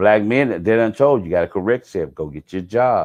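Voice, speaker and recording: Against a quiet background, a man with a fairly low voice talks at a moderate pace with lively intonation. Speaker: vlogger. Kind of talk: casual monologue. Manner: loud; animated.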